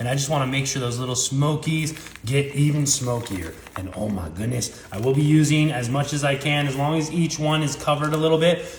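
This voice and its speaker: A man with a fairly high voice talks at a fairly quick pace, with audible room echo and noticeable background noise. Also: ordinary pitch variation. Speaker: home cooking video host. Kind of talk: cooking tutorial. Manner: animated.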